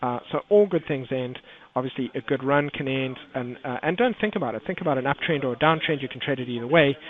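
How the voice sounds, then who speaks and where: Over noticeable background noise, a man talks at a very fast pace with a fairly high pitch and ordinary pitch variation. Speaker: trading educator. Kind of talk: webinar market commentary.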